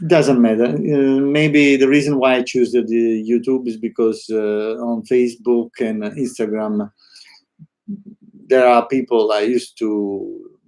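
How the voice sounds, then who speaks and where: Fairly slow speech with fairly even intonation, in an Italian accent. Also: man, medium pitch for a man. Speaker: artist. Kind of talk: live stream monologue. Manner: halting, many fillers; spontaneous, unscripted.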